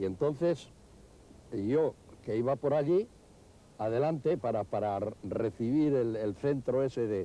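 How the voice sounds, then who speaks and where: In a dark, mellow tone, a man speaks at a fairly slow pace with medium pitch, lively intonation, and long, frequent pauses. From Bilbao. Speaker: former football striker. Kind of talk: interview answer.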